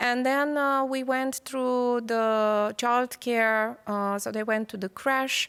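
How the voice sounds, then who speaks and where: In a Romanian accent, a woman with a high pitch speaks at a very slow pace with hardly any pauses and fairly even intonation, on a very clean recording with a silent background. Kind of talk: panel discussion.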